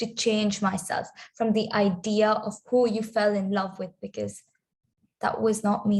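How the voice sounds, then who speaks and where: Somewhat breathy, a woman with a fairly high pitch speaks at a fairly slow pace. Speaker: spoken word poet. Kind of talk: spoken word poetry performance.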